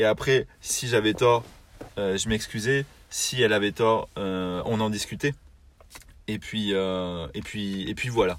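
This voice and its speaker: A man talks at a very slow pace with long, frequent pauses. His fairly low pitch shows ordinary variation. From southern France. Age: young. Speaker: podcast co-host, naval construction project manager. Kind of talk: casual chat. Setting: in a car. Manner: hesitant, many repetitions.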